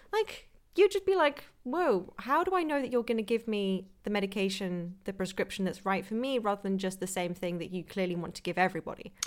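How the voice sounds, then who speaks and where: With a British accent and a medium-pitched voice, a woman talks at a fairly quick pace with hardly any pauses. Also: ordinary pitch variation, very clean recording, silent background. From Britain. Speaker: nutritionist and podcast host. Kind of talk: casual chat.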